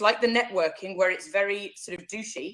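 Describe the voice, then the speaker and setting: A woman speaks with an English Midlands accent. Her pace is fairly quick. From central England. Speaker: online business coach. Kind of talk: interview. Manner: loud when enthusiastic.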